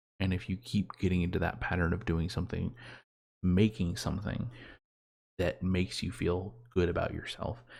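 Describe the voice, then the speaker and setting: A soft-spoken, somewhat breathy whisper moves at a moderate pace with long, frequent pauses. The recording is very clean, with a silent background. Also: man. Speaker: solo vlogger. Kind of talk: casual monologue. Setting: home bedroom, quiet for parents. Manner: soft-spoken, near whisper; halting.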